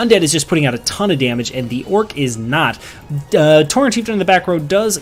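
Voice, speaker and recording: A man speaks at a very fast pace with lively intonation. Noticeable background noise runs behind him. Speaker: game commentator. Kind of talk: esports play-by-play commentary.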